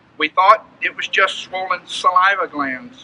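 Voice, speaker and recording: Raising and projecting his high-pitched voice, a man with an American accent speaks at a fairly slow pace with ordinary pitch variation, the sound dry and close with no echo amid noticeable background noise. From California (Bakersfield). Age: 60s. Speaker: farmer. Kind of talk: prepared statement, testimony. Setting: press conference. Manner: formal.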